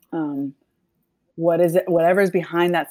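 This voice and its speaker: A woman with an American accent talks at a fairly quick pace. The recording is very clean with a silent background and a dry, close sound with no echo. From US South, Nashville, Tennessee. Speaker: social impact consultant and author. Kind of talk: casual interview chat.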